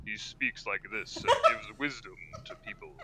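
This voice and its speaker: Through loud background noise, a man uses a put-on character voice at an extremely high pitch and a moderate pace. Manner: cute, wise.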